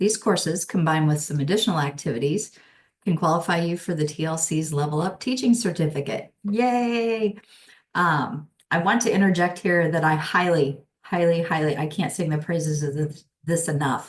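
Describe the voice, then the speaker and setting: A somewhat breathy woman's voice at fairly low pitch, moderate pace, and ordinary pitch variation. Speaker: instructional designer. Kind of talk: webinar presentation.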